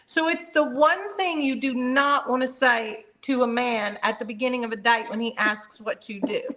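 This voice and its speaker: A woman speaks in a high voice with hardly any pauses over noticeable background noise. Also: moderate pace. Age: 60s. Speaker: doctor and panel guest. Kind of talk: casual chat.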